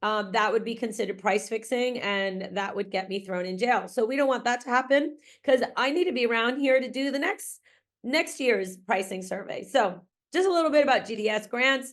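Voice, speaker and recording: With a slight Massachusetts accent, a woman talks at a fairly quick pace and fairly high pitch against a quiet background. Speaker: grant writing consultant and researcher. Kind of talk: webinar presentation. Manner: casual, with frequent fillers.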